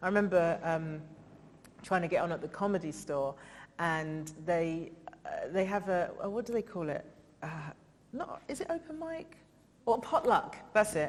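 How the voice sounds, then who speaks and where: A woman of medium pitch talks with an English accent, lively intonation and long, frequent pauses. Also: moderate pace. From England. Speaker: comedian and writer. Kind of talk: festival interview talk. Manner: animated.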